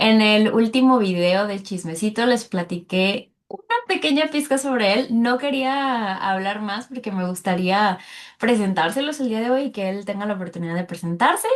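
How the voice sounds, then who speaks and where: A woman with a Mexican accent and a fairly high pitch talks at a moderate pace with hardly any pauses. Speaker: French teacher and podcast host. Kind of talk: casual interview.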